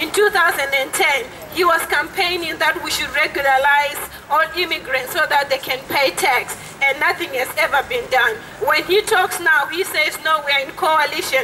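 A woman's extremely high, raised and projected voice at a fairly slow pace, with ordinary pitch variation and light background noise. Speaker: asylum seeker activist. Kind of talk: rally speech. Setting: outdoor protest. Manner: earnest, angry, indignant, urgent, fluent with hesitations. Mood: indignant, earnest. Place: street. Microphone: handheld.

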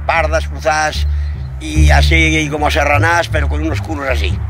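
A man with a very deep, low pitch speaks at a fairly slow pace, pausing long and often, in a dry sound with no echo and noticeable background noise. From Soria, Spain. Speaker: livestock dealer and farmer. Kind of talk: interview answer. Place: open country.

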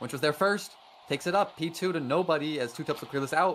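A man's fairly high voice at a very fast pace. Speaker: sports commentator. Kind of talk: live play-by-play commentary.

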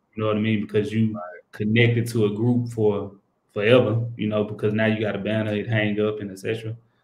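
With an American accent and a fairly low pitch, a man talks at a fairly quick pace in a monotone, flat intonation amid audible room echo. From Texas, Houston. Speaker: professional basketball player; guest. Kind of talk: interview. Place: home room. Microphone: video call.

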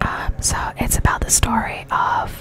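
Whispering is what this woman does. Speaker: ASMR gaming streamer. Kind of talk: casual talk to camera. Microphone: studio mic.

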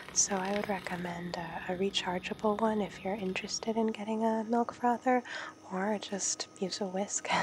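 Soft-spoken, relaxed delivery at a moderate pace, with fairly even intonation and noticeable background noise. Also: woman, medium pitch for a woman. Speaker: home coffee maker showing her routine. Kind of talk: ASMR soft-spoken tutorial.

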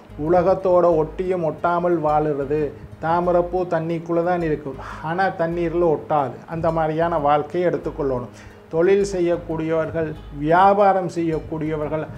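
The man's voice is high-pitched with fairly even intonation. Light background noise is present. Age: 50s. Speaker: astrologer. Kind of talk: horoscope talk. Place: studio.

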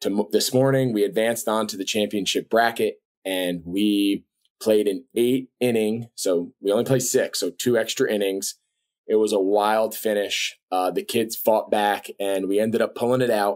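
A man with a normal speaking voice and a fairly low pitch talks at a moderate pace with fairly even intonation against a quiet background. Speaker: podcast host. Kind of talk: podcast intro monologue. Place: home room. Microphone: webcam.

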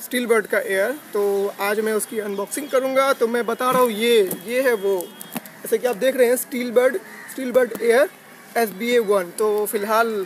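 Speaking at a moderate pace with fairly even intonation, a man uses an extremely high pitch in a dry sound with no echo and light background noise. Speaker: bike channel vlogger. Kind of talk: casual vlog chat, unboxing intro. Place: garden. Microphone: earbuds.

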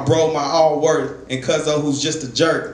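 Audible room echo and light background noise surround a man speaking at a fairly slow pace. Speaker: spoken word poet. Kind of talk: spoken word poetry performance. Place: stage.

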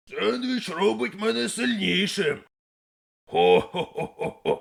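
Using a cartoonish character voice, a man speaks at a high pitch and a fairly slow pace. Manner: blunt, boastful, speaks of himself in third person.

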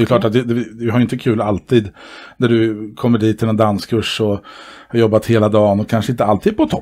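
Dark and mellow in tone, a man speaks at a fairly quick pace with monotone, flat intonation. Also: medium pitch for a man. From Sweden. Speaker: dance club board member and dance instructor; dance instructor. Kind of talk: casual interview chat. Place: home room. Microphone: headset.

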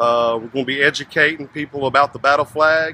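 A man talks at a moderate pace. The sound is dry with no echo, and light background noise is present. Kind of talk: interview answer. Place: street. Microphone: phone near.

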